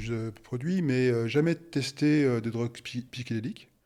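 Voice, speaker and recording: At a moderate pace, a man speaks in a medium pitch with fairly even intonation on a very clean recording with a silent background. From France, Haute-Savoie. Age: 60s. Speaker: retired engineer. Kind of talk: interview testimony. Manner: halting, many hesitations.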